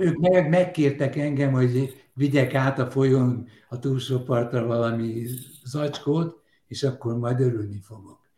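A man's somewhat breathy, dark, mellow voice at a medium pitch, with ordinary pitch variation and a fairly slow pace. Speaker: humorist and singer. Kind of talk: casual panel chat.

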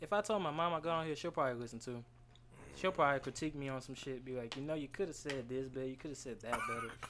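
Very fast in delivery, a man with an American accent speaks at a fairly high pitch with ordinary pitch variation. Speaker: podcast guest. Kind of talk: casual chat.

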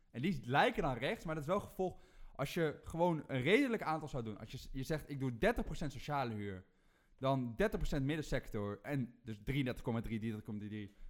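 Using very wide pitch swings, a man talks at a fairly slow pace in a fairly high voice. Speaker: rant-giving guest. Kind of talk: angry rant, mocking parody. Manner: fired up, sarcastic, loud; ranting, macho swagger.

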